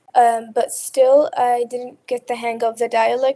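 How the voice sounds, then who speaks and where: A woman speaks with a slight Arabic accent and a high pitch. Her tone is dark and mellow, and the sound is dry and close with no echo. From Qatar. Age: 20s. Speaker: college student. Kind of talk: interview. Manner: halting.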